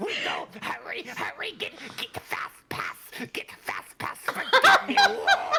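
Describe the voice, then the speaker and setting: Someone uses a put-on character voice with extremely high pitch, delivered at a fairly slow pace. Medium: actual play. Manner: stammering, repetitive.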